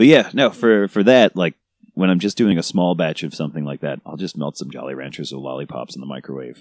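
Talking at a very fast pace, a man with an American accent uses a very deep, low pitch, vocal fry and lively intonation, with a dry, close sound and no echo. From New York City. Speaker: cake sculptor on a reality TV show. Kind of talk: casual chat.

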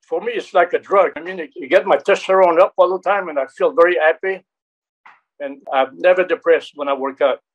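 Speech in a French Canadian accent comes at a fairly quick pace, with big jumps in volume and ordinary pitch movement. The sound is dry and close, with no echo. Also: man, high pitch for a man. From Quebec. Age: 70s. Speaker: action actor and martial artist. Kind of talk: interview. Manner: halting.

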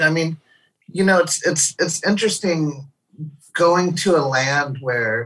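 A man with an American accent talks in a normal speaking voice at a fairly high pitch. He goes at a fairly slow pace with lively intonation. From St. Louis, Missouri. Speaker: touring musician's partner. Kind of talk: casual chat. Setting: video call.

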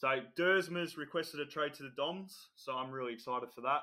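This voice has an Australian accent and a bright, sharp tone. The pace is fairly quick and the intonation fairly even. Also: man. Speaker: podcast co-host. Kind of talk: casual chat.

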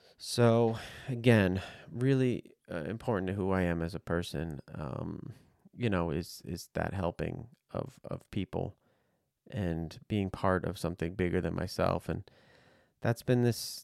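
A man with an American accent speaks at a fairly slow pace in a very deep, low voice with ordinary pitch variation. The recording is very clean with a silent background, and the sound is dry and close with no echo. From New Jersey. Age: 40s. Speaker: podcast host. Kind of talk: solo monologue. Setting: home studio.

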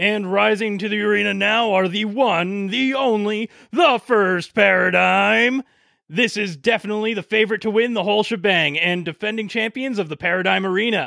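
This man's voice is high-pitched and sounds excited. His pitch varies in an ordinary way. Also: moderate pace. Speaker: sports commentator character. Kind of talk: live sports commentary. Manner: animated; play-by-play excited.

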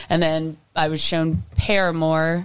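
A woman speaks with a very deep, low pitch. Her pace is very slow and her intonation monotone and flat. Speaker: singer-songwriter. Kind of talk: casual chat.

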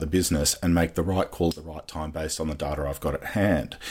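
A man with a very deep, low pitch talks at a very fast pace with fairly even intonation. Noticeable background noise is present. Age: 40s. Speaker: tech startup CEO and founder. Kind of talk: interview.

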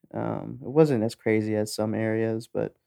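With an American accent, this voice keeps a fairly even intonation in a dry, close recording with no echo. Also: man. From San Antonio, Texas. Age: 30s. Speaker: podcast co-host, military veteran. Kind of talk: casual chat.

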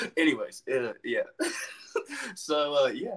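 At a moderate pace, a man talks in a plain, everyday voice with ordinary pitch variation. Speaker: wrestler. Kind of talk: casual chat. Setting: video call. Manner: warm, affectionate.

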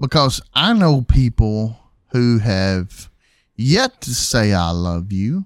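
The speech comes at a very slow pace with lively intonation, on a very clean recording with a silent background. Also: man, medium pitch for a man. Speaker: podcast host. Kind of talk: casual banter podcast. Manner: playful, finishes sentences with interruptions.

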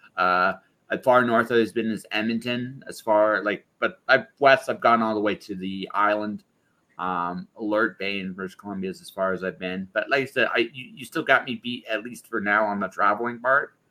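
A man with a Canadian accent speaks in a plain, everyday voice at a moderate pace. His pitch is fairly low with ordinary pitch variation, and his loudness swings widely. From Ontario, Canada. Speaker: podcast host. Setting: live video call.

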